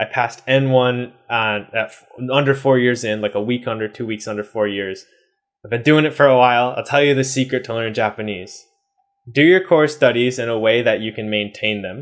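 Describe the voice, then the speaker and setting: An American accent from a man at medium pitch and a moderate pace, with a quiet background. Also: ordinary pitch variation. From US East Coast. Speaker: YouTuber, Japanese learner; language learning youtuber. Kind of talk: casual vlog talk to camera. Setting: home room in Japan. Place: home room.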